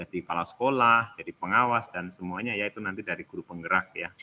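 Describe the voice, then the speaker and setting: A man speaks with a Javanese accent. His intonation is fairly even. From Central Java (Karanganyar, Solo). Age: 40s. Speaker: teacher trainer, school supervisor. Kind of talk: online training session. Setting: video call. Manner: informal, relaxed.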